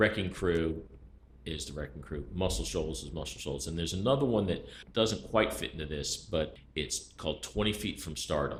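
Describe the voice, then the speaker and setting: With vocal fry and a very deep, low pitch, a man speaks at a moderate pace with lively intonation. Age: 60s. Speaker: music expert panelist. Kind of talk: casual chat. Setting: podcast studio.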